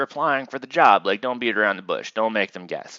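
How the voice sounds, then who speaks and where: The speaker is a man. He talks very fast. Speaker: university instructor. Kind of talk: lecture. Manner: casual, filler-heavy.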